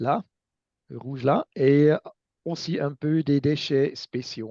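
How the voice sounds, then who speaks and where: A very slow delivery with a non-native accent. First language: not French (speaking French). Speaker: recycling expert. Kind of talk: lecture. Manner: halting, many hesitations.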